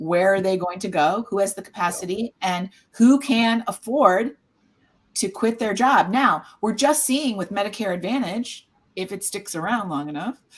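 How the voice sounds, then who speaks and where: In an American accent, the speaker uses lively intonation at a moderate pace. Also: woman, medium pitch for a woman. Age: 60s. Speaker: caregiver support nonprofit founder. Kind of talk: casual panel discussion.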